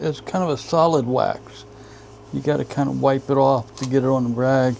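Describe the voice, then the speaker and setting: There is noticeable background noise throughout. The talking proceeds at a moderate pace. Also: man. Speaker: woodturner. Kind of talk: tutorial. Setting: workshop. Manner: casual, hesitant with fillers.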